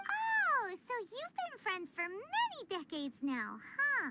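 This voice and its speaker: A squeaky put-on character voice speaks at an extremely high pitch and a fairly slow pace. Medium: video game. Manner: casual, blunt.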